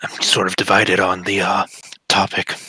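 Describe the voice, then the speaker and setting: At a moderate pace, a man puts on a raspy character voice with a very deep, low pitch. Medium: actual play. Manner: halting, hesitant.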